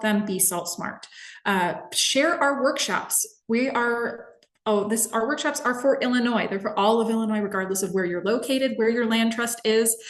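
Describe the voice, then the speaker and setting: Audible room echo around a woman, fairly high in pitch, with ordinary pitch variation. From Minnesota. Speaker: environmental educator. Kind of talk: webinar presentation. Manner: fast.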